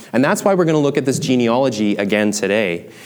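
Speaking at a fairly quick pace with lively intonation, a man uses a plain, everyday voice. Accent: Canadian. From Canada, small town. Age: 30s. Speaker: pastor. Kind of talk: sermon.

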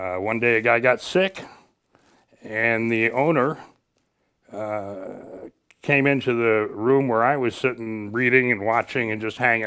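A man with a Midwestern American accent, medium-pitched, at a fairly slow pace with long, frequent pauses and ordinary pitch variation. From northern Illinois (Ottawa). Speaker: retired radio station manager. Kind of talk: casual interview. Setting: studio.

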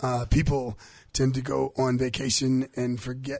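A man's somewhat breathy voice at medium pitch. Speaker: radio health show co-host, doctor. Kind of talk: casual chat.

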